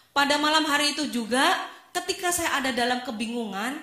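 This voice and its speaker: A woman speaks at a moderate pace in a bright, sharp tone with ordinary pitch variation, and the room echo is audible. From Indonesia, Semarang (Central Java). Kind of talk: testimony.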